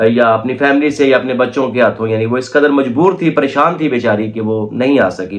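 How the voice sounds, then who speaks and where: Here a man speaks with lively intonation and a medium pitch. His pace is moderate. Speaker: YouTube commentator. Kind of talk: reaction commentary monologue. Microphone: no microphone, recorded on phone.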